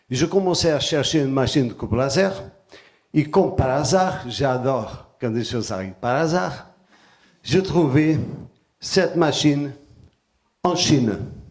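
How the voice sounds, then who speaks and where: There is audible room echo as a man with a Portuguese accent speaks at a fairly high pitch with lively intonation. His pace is fairly slow, with long, frequent pauses. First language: Portuguese (speaking French). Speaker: artisan and sacred geometry presenter. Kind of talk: conference talk. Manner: hesitant, with fillers.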